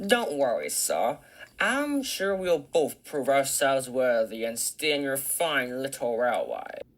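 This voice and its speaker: A put-on character voice at a low-to-middle pitch. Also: fairly slow pace. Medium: machinima. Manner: haughty, condescending.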